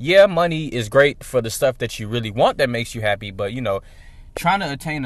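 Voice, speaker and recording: Here is a man with an unremarkable speaking voice, medium in pitch and fairly quick in pace. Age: 20s. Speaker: podcast host. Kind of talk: casual monologue. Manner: casual, filler-heavy.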